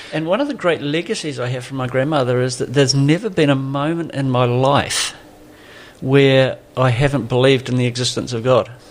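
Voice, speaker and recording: A man with a southern New Zealand accent talks at a fairly quick pace in a medium pitch. His intonation is fairly even. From New Zealand, Southland. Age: 60s. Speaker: pastor. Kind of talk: podcast interview.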